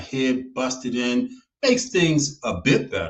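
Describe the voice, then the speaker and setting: Speaking at a fairly slow pace, a man with an American accent uses a medium pitch and ordinary pitch variation. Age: 60s. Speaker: TV show host. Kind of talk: commentary monologue. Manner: emphatic.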